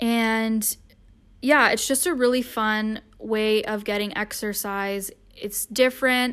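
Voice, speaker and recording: A woman's fairly high voice in a Canadian accent, an unremarkable speaking voice with fairly even intonation at a fairly slow pace, on a very clean recording with a silent background. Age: 20s. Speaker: podcast host. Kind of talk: casual solo talk. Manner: chatty with many fillers.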